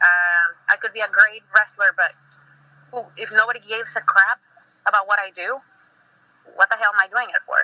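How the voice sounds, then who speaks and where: A woman's fairly high, bright and sharp voice in a Spanish accent, flat and monotone, with big swings in loudness, long and frequent pauses, and a dry, close sound with no echo. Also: fairly quick pace. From Mexico. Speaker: professional wrestler. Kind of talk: interview.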